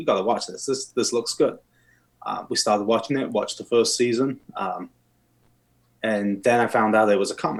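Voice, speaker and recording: Speaking with an English accent, a man keeps a moderate pace broken by long, frequent pauses. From England. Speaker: steel plant worker, podcast guest. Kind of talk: casual chat.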